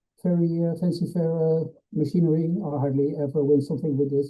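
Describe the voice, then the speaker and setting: A man speaks at a fairly quick pace, somewhat breathy and in a monotone, flat intonation. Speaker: veterinary internal medicine specialist. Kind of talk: lecture. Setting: webinar. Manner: fast; hesitant, many uh fillers.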